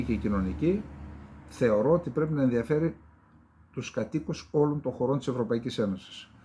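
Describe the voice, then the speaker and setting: Recorded very cleanly against a silent background, a man speaks. His pace is fairly slow, with ordinary pitch variation. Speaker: geopolitical commentator. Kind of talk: solo political commentary show. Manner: conversational, with fillers.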